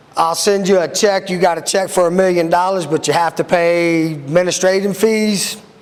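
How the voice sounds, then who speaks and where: Loud and high-pitched, a man talks at a moderate pace with fairly even intonation and hardly any pauses, over noticeable background noise. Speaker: sheriff's deputy. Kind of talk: public talk / presentation. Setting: room with live audience.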